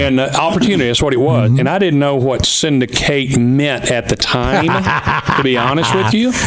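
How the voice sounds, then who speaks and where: A man speaks with a fairly high pitch and ordinary pitch variation at a moderate pace, with noticeable background noise behind him. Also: very even loudness. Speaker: auctioneer and former wrestling TV syndicator. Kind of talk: radio talk show guest interview answer. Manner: conversational storytelling.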